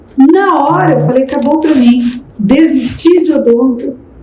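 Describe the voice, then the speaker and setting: A high-pitched woman's voice with lively intonation, audible room echo and noticeable background noise. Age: 70s. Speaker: pastor and speaker. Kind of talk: podcast interview.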